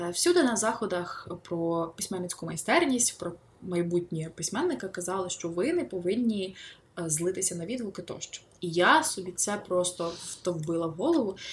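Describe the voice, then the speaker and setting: Her voice is somewhat breathy and sits at a medium pitch. The woman's pitch varies in an ordinary way. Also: moderate pace. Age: 20s. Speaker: novelist. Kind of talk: interview.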